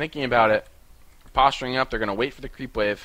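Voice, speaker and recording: The man's voice has a bright, sharp tone at medium pitch. His intonation is fairly even. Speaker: esports caster. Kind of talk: live commentary. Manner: fast.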